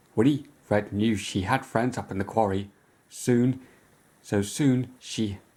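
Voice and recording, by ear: The passage is read aloud. It comes in a natural voice.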